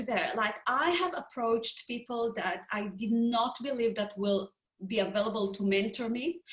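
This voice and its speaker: Here a woman talks at a fairly slow pace. Her pitch sits fairly high. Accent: non-native. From Israel. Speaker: business founder and HR professional. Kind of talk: panel discussion. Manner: halting.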